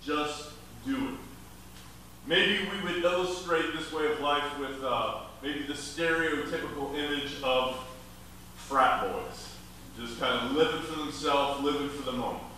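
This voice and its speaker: A man speaks at a fairly slow pace, with long, frequent pauses and ordinary pitch variation. Strong room echo and light background noise surround him. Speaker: preacher. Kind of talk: sermon. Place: hall.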